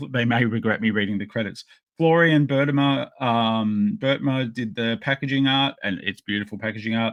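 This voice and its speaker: With an Australian accent, a man speaks at a moderate pace in a medium pitch with ordinary pitch variation. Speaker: podcast host and toy collector. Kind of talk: casual unboxing chat. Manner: halting, many fillers.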